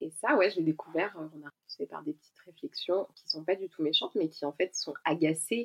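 Speaking at a moderate pace, a woman with an unremarkable speaking voice sits fairly low in pitch, with ordinary pitch variation and big swings in loudness. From France, Ain near Lyon. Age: 30s. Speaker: expatriate guest. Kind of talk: casual chat.

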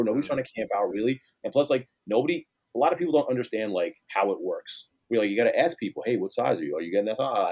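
A man with a New York accent talks at a very fast pace and a medium pitch. His tone is dark and mellow, and the sound is dry and close with no echo. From Queens, New York City. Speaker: sneaker store manager and line organizer. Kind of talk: casual chat.

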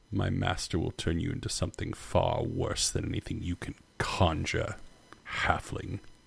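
Using a put-on character voice with a very deep, low pitch, a man speaks at a moderate pace. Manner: menacing, threatening.

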